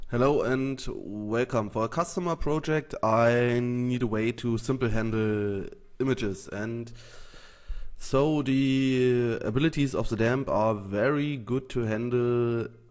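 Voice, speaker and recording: A man talks at a fairly slow pace with a medium pitch and ordinary pitch variation. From Germany. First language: German. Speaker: software developer. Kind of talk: tutorial. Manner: halting.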